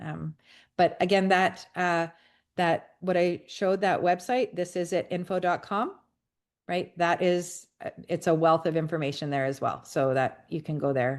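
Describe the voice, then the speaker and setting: In a quiet background, a woman talks fairly slowly with a plain, everyday voice, a fairly low pitch, and ordinary pitch variation. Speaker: wellness product presenter. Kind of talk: video call Q&A.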